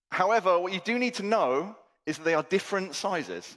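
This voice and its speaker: On a very clean recording with a silent background, a man with a British accent talks at a fairly quick pace with lively intonation. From England. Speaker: conference keynote speaker. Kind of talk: conference talk. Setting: stage with audience. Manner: animated.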